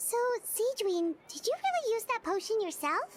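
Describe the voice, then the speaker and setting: Squeaky and extremely high in pitch, this is a put-on character voice. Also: moderate pace. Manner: surprised questioning.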